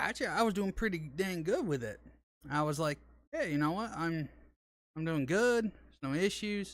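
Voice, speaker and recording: Speaking in a Southern US accent, a man with a high-pitched voice moves at a moderate pace with lively intonation and long, frequent pauses. The recording is very clean, with a silent background. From Arkansas. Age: 30s. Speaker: gaming streamer. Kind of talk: casual chat. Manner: halting.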